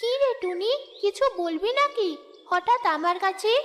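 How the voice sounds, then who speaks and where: In a cartoonish character voice, a female-sounding voice with an extremely high pitch speaks fairly slowly. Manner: gentle, kindly.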